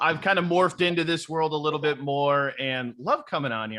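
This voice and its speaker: The voice is an ordinary speaking voice. Its pitch varies in an ordinary way. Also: man. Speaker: podcast guest, former podcast host.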